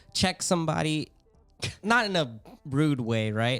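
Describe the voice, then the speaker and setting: Over music in the background, a man speaks loudly with a fairly high pitch and very wide pitch swings. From US, Filipino-American family. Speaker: podcast host. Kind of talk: casual chat.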